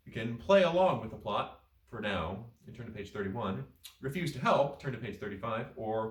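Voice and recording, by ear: The text is read aloud in a natural voice.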